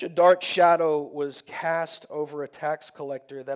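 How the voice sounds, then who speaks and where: A man's plain, everyday voice with an American accent, fairly high in pitch, at a fairly slow pace with fairly even intonation. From Texas. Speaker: pastor. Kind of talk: sermon. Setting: church.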